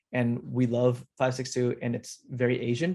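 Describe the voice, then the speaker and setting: This man's voice has a medium pitch. He keeps to a moderate pace. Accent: Southern California. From Indonesia, then Cerritos, California from age nine. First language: Indonesian. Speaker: actor. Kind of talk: interview. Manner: casual with many fillers and restarts.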